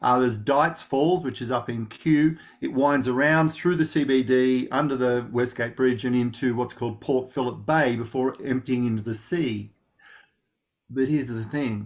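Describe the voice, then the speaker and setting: Recorded very cleanly with a silent background, a man with an Australian accent speaks at a moderate pace and medium pitch, his intonation fairly even. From Australia, rural Victoria (Gippsland). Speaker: knowledge management practitioner. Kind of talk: interview. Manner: many fillers and restarts.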